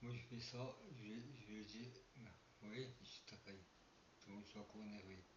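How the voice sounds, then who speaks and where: A somewhat breathy man talks fairly slowly at a fairly low pitch, with fairly even intonation and long, frequent pauses. Audible room echo is present. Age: 60s. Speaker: paranormal and urbex youtuber. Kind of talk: casual vlog monologue. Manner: halting. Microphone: poor sound quality.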